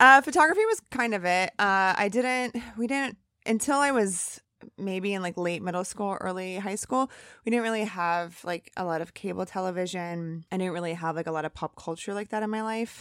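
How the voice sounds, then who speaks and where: A woman speaks with a bright, sharp tone and ordinary pitch variation. The recording is very clean, the background silent. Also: medium pitch for a woman, moderate pace. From US Midwest, northern Indiana. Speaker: comedy producer and author. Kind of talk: interview.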